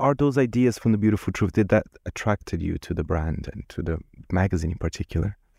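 In a Portuguese accent, a man talks at a very fast pace with lively intonation, a fairly low pitch and a dark, mellow tone, in a very clean recording with a silent background and a dry, close sound with no echo. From Brazil. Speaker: podcast host. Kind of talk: interview. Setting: studio.

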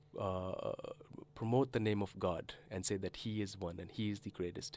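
Fairly low in pitch, a man speaks at a moderate pace with fairly even intonation. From Canada. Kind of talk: interview.

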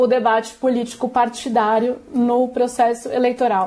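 At a fairly slow pace, a woman speaks in a high voice with monotone, flat intonation. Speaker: political reporter. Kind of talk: news interview.

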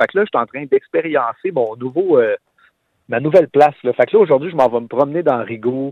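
A man with a Quebec accent speaks with ordinary pitch variation. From Quebec, Terrebonne. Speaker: singer-songwriter. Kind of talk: interview. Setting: phone call.

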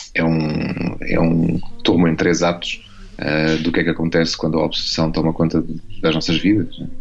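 A man's very deep, low voice with monotone, flat intonation at a moderate pace over noticeable background noise. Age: 40s. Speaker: novelist. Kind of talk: radio interview. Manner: halting, many fillers and repetitions.

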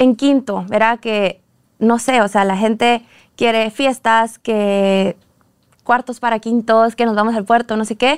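A woman with an unremarkable speaking voice at a fairly high pitch and fairly slow pace, on a very clean recording with a silent background and a dry, close sound with no echo. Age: 20s. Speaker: dance academy founder and teacher. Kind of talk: casual interview chat.

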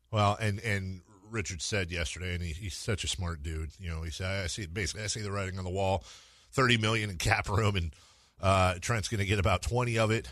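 Against a quiet background, an unremarkable speaking voice moves at a fairly quick pace with ordinary pitch variation. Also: man, fairly low pitch for a man. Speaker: radio host. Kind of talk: casual radio interview. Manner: joking, playful.

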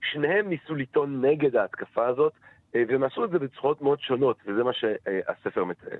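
With lively intonation and a fairly quick pace, this man has a fairly high pitch and an unremarkable speaking voice. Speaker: philosophy lecturer. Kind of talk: interview. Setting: phone call.

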